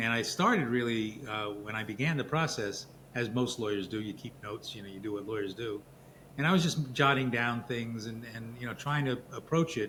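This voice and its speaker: With a bright, sharp tone, a man of medium pitch speaks at a fairly quick pace and varies his pitch in an ordinary way. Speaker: lawyer and author. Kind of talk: interview.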